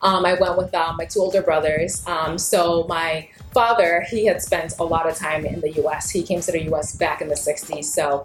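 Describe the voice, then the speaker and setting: Over music in the background, a woman with a fairly low voice keeps a moderate pace with hardly any pauses. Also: fairly even intonation. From Ghana (Ashanti), raised in Massachusetts from age 12-13. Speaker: lawyer and children's book author. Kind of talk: interview. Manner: casual, many fillers (um, like, you know).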